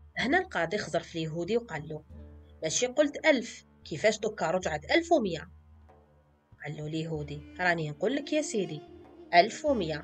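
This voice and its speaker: Music sits in the background as a woman speaks at a moderate pace. Her loudness swings widely. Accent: Algerian. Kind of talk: folk tale storytelling.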